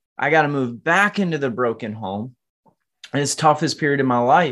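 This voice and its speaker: Over a quiet background, a man with an American accent talks in an ordinary speaking voice at a fairly high pitch with ordinary pitch variation. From Michigan. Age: 20s. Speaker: entrepreneur. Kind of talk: testimony.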